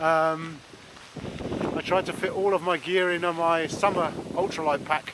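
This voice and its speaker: Over noticeable background noise, a man with an English accent and a high pitch speaks in a flat monotone with long, frequent pauses. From England. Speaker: vlogger. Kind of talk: casual vlog narration. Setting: outdoors. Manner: halting.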